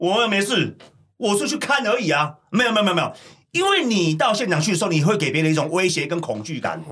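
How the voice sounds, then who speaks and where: A man's high-pitched, animated voice with a Taiwanese accent, lively intonation and a very fast pace. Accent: Taiwanese Mandarin with Hokkien. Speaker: podcast host, former prisoner. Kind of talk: casual chat.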